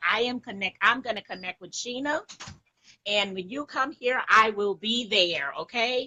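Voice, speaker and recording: A woman's animated, fairly high voice at a moderate pace, with ordinary pitch variation and big swings in loudness. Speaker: live stream caller. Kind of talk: casual chat.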